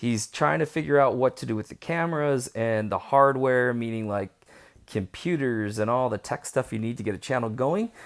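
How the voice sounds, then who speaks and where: The tone is animated, with ordinary pitch variation. The recording is very clean, with a silent background. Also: man. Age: adult. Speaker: YouTuber. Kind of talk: casual vlog.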